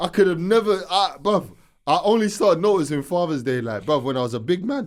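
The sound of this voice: A man at a fairly high pitch, with lively intonation and a fairly quick pace.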